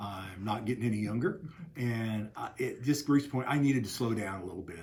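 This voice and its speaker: Somewhat breathy, a man with an American accent speaks at a fairly quick pace and a medium pitch, with ordinary pitch variation. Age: 60s. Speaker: newspaper owner. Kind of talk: interview. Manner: halting with many fillers.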